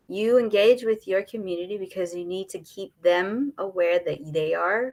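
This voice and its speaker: Speaking at a fairly slow pace, a woman with a Trinidadian accent has a fairly low pitch and ordinary pitch variation. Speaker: on-camera confidence coach. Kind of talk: live interview.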